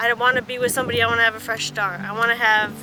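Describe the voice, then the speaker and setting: A woman speaks with an American accent, her pitch fairly high and her intonation fairly even. Music plays in the background. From central Wisconsin. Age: 20s. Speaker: entrepreneur. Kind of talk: documentary interview.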